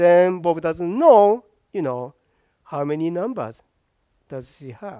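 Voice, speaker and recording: A man speaks very slowly in a high voice, his pitch swinging very widely, against a quiet background. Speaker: professor. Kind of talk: lecture. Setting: classroom lecture. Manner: hesitant, frequent fillers. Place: classroom. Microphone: lapel.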